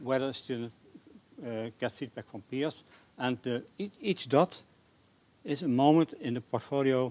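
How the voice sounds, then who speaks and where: Fairly slow speech from a man, medium in pitch. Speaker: academic researcher. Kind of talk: conference presentation. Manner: hesitant, many fillers.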